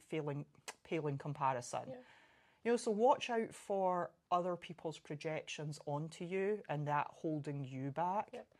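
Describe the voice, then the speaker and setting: A woman speaks in an unremarkable speaking voice, fairly low in pitch. Her intonation is lively. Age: 40s. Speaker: CrossFit coach and competitive athlete. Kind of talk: casual chat.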